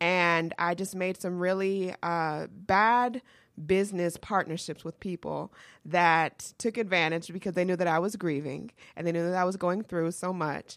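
A woman with an American accent and a fairly low pitch, a normal speaking voice, moderate pace and fairly even intonation, on a very clean recording with a silent background. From US South, Georgia. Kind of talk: casual interview chat. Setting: studio.

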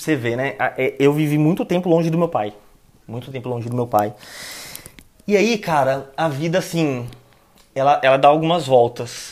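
Long, frequent pauses in a man's fairly high-pitched speech at a moderate pace, with ordinary pitch variation. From São Paulo, East Zone. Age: 20s. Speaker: planning manager. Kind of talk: casual interview. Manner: slangy, animated.

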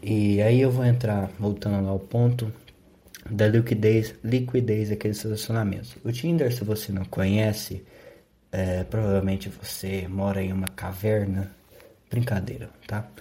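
A man talks at a fairly slow pace, fairly low in pitch with ordinary pitch variation. His tone is dark and mellow, and somewhat breathy. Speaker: podcaster. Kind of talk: solo podcast monologue. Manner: sleepy, low-energy delivery.

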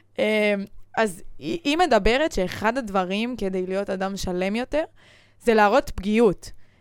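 A woman's fairly high voice with lively intonation at a fairly slow pace, long, frequent pauses, and a very clean recording against a silent background. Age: 20s. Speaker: podcast host, former gymnast. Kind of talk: casual chat.

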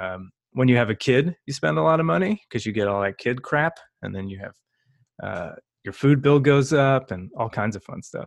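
The sound is dry and close with no echo, over a quiet background. A man with an American accent speaks at a medium pitch with very wide pitch swings. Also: moderate pace, big swings in loudness. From US Northeast, New York area. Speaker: marketing podcast co-host. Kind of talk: casual chat. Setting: home, on camera.

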